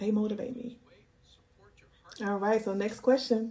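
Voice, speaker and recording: A woman's fairly high voice, dark and mellow in tone, with fairly even intonation and a fairly slow pace. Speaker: YouTuber answering viewer questions. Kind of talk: casual Q&A monologue. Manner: calm, measured.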